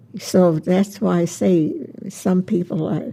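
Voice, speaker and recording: The woman speaks at a very slow pace and medium pitch, with ordinary pitch variation. Noticeable background noise is present. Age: 80s+. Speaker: centenarian interviewee. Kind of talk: casual interview. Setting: her home.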